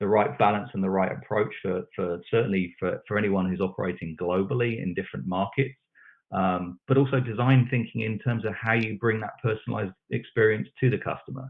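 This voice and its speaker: He speaks with a British accent at a fairly low pitch. The man's pace is fairly quick. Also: ordinary pitch variation. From UK. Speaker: technology expert panelist. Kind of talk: panel discussion. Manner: halting, repeats words.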